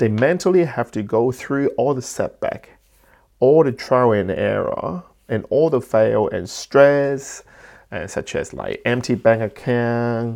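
Against a quiet background, a man speaks with a strong Cantonese accent. His pace is very slow. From Hong Kong. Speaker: entrepreneur and business podcaster. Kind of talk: solo podcast talk, motivational. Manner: halting, with frequent fillers and restarts.

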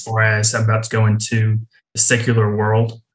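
A man speaks with an East Tennessee accent at medium pitch. His voice is somewhat breathy, and his pace is moderate. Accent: Southern US (East Tennessee). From East Tennessee (near Knoxville). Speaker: campus ministry worker. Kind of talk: testimony. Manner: polite.

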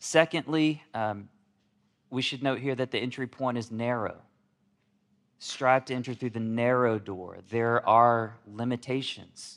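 In a very clean recording with a silent background, a man talks at a fairly slow pace with a medium pitch and fairly even intonation. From Alabama, US South. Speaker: pastor. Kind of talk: sermon.

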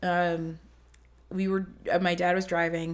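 In an ordinary speaking voice, a woman with an American accent talks at a fairly low pitch and a fairly slow pace. The recording is very clean, with a silent background. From Ohio and New Jersey, US. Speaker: former gymnast and college rower. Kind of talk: casual chat.

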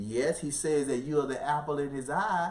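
Using a normal speaking voice, a man talks fairly quickly at a fairly high pitch, his pitch varying in an ordinary way. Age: 50s. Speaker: pastor. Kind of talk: bible study teaching. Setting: live broadcast.

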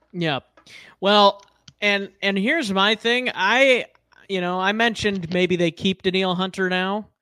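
Recorded dry and close with no echo on a very clean recording with a silent background, a man speaks at a fairly slow pace in a raised, projected voice, high in pitch with a bright, sharp tone and ordinary pitch variation. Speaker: podcast host. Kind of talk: casual sports podcast chat. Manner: rambling, filler-heavy, fan enthusiasm.

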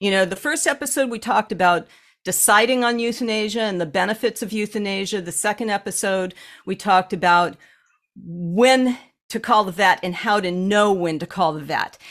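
At a moderate pace and medium pitch, a woman with a normal speaking voice shows ordinary pitch variation on a very clean recording with a silent background. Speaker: animal communicator and healer. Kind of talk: casual podcast conversation.

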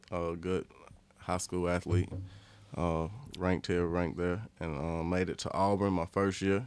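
A man with an American accent speaks at a moderate pace in a very deep, low pitch. His delivery has long, frequent pauses. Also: fairly even intonation. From US South, Leeds, Alabama. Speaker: professional football player. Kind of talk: casual chat.

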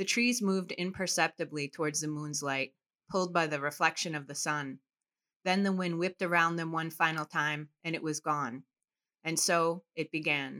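At a moderate pace, a woman with an Upper Midwest accent and a fairly low pitch speaks with fairly even intonation in a dry, close sound with no echo. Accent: Upper Midwest American. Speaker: author and activist. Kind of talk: interview with reading aloud.

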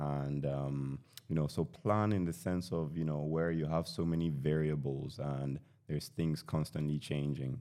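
A man speaks at a moderate pace in a very deep, low voice, with ordinary pitch variation and very even loudness. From Nigeria, British-educated. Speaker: guest, tech commentator. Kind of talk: casual chat.

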